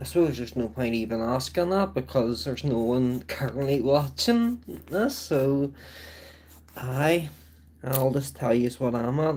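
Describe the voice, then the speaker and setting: This man has a Belfast accent and a medium pitch. He talks at a fairly slow pace with lively intonation. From Northern Ireland, Belfast. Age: 30s. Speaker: livestreamer. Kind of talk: casual chat. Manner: rambling, many fillers.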